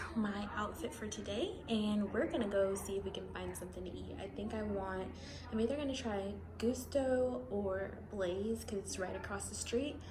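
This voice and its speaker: A woman speaks at a moderate pace. Her voice carries audible room echo over noticeable background noise. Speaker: vlogger and college intern. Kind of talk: vlog. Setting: office loft. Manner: whispering.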